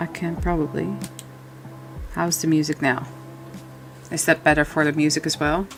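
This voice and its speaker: A soft-spoken woman talks at a very deep, low pitch in a monotone, flat intonation, moving at a moderate pace. Long, frequent pauses break her speech over noticeable background noise. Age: 40s. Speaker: coloring YouTuber. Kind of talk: casual livestream chat while coloring. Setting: livestream. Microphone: too quiet, gain raised.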